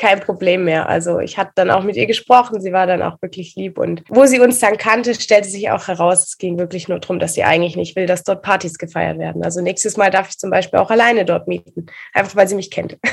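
Barely stopping for pauses, a woman rattles along at a very fast pace with a medium pitch and ordinary pitch variation. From Swabia, southern Germany (Reutlingen). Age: 20s. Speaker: photographer and pole dancer. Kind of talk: casual interview.

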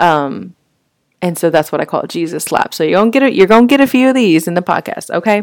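A woman's very fast speech in an American accent, medium in pitch with very wide pitch swings. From Texas, Fort Worth. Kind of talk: casual faith talk monologue. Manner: conversational with frequent fillers.

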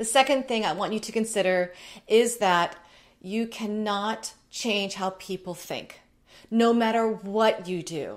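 A woman's fairly high, animated voice at a fairly slow pace, in a very clean recording with a silent background. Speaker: style coach video host. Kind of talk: direct-to-camera advice talk. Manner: loud.

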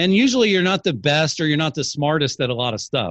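Very wide pitch swings mark this man's speech. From rural area, small place. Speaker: real estate marketing author and video show host. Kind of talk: casual interview chat. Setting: online call.

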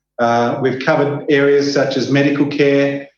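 His pitch sits fairly high for a man. The man keeps a moderate pace. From Australia. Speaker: aid organization country director. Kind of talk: interview conversation.

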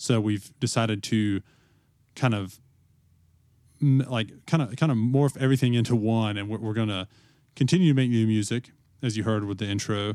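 A man at medium pitch, fairly quick pace and ordinary pitch variation, on a very clean recording with a silent background. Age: 20s. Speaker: podcast co-host, flooring installer. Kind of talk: casual chat. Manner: halting, many fillers.

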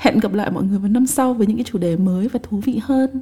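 Speaking at a fairly quick pace, a woman is heard over noticeable background noise. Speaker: podcast host. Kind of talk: personal reflective monologue.

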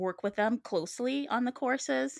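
A woman is heard in a dry, close sound with no echo, on a very clean recording against a silent background. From Trinidad. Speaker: writer and writing coach. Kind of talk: casual interview.

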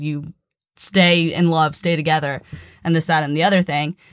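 A woman speaks at a moderate pace with a fairly low pitch and fairly even intonation. Hers is an unremarkable speaking voice. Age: 20s. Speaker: athletic trainer. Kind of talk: casual chat.

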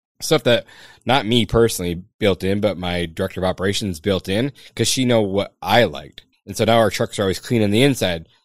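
An unremarkable speaking voice from a man, fairly low in pitch with ordinary pitch variation, in a dry, close sound with no echo and a very clean recording with a silent background. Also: fairly quick pace. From Michigan, Upper Peninsula. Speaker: pest control company owner. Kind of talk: podcast interview.

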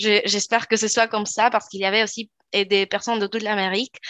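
A woman talks at a medium pitch with a Spanish accent. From Chile, Valparaíso. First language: Spanish (speaking French). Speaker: law student and youth ambassador. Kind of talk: interview.

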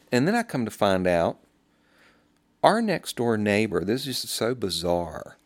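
Speaking at a fairly slow pace with long, frequent pauses, a man with a Southern US accent uses a medium pitch and lively intonation on a very clean recording with a silent background. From US South. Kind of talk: testimony.

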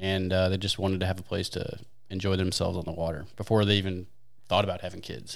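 In an American accent, a man talks at a very fast pace. His pitch is very deep and low, with monotone, flat intonation. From US Midwest, St. Louis, Missouri. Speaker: wakeskater and league organizer. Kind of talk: casual chat.

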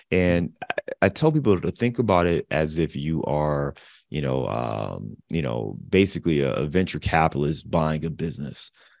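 A man with an American accent speaks at a very deep, low pitch with vocal fry. His intonation is lively and his pace moderate. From Cleveland, Ohio (US Midwest). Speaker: real estate investor. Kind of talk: interview.

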